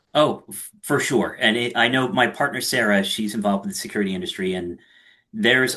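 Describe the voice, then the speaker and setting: A man with a Philadelphia accent and fairly even intonation. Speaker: podcast host. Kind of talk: podcast interview.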